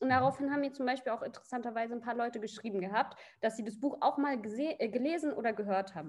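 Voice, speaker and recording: An energetic tone comes through at a very fast pace with ordinary pitch variation. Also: woman, high pitch for a woman. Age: 20s. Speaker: coaching client. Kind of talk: casual interview.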